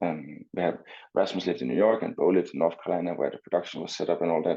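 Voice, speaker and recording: In a Danish accent, a man speaks at a very fast pace. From Denmark, Copenhagen. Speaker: swimmer and entrepreneur. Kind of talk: interview.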